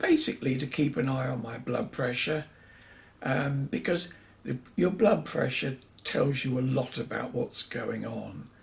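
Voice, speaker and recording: At a fairly slow pace, a man talks in a medium pitch with vocal fry. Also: ordinary pitch variation. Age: 70s. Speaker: vlogger sharing health experiences. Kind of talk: personal vlog monologue. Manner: conversational with hesitations.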